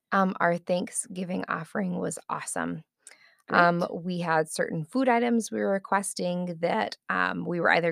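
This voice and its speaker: A normal speaking voice at a moderate pace with lively intonation, dry and close with no echo. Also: woman. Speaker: church ministry volunteer. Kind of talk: casual interview.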